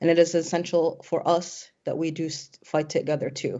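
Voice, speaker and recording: This is an unremarkable speaking voice in an American accent. The pace is moderate. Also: woman. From Syrian American. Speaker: activist, panel moderator. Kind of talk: panel moderation, prepared speech.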